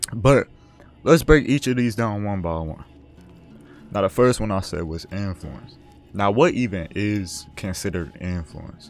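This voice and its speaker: Music plays behind a man with a fairly low pitch and lively intonation. He leaves long, frequent pauses. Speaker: gaming commentary vlogger. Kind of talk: casual unscripted advice talk over gameplay. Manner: halting, self-correcting.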